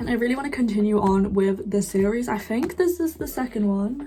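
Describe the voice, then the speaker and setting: Noticeable background noise sits behind a woman with a British accent who speaks at a moderate pace with lively intonation. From UK. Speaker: book youtuber. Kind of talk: casual monologue. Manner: chatty, frequent fillers.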